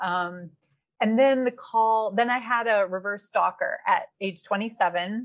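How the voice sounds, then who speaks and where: A woman speaks at a very slow pace. Her pitch is fairly high and varies in an ordinary way. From Wisconsin, small town. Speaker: developmental editor and writing coach. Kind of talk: interview.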